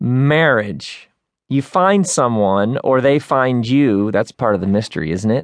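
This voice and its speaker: Against a quiet background, a man with a plain, everyday voice talks fairly slowly at a medium pitch with lively intonation. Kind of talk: audiobook narration, reading a self-help book aloud. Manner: smooth, measured, warmly conversational reading.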